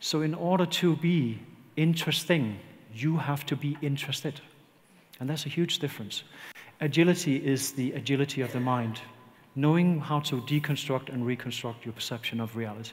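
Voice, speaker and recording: This man's somewhat breathy voice sits at a fairly high pitch with ordinary pitch variation. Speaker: leadership consultant. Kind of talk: conference talk. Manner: slow.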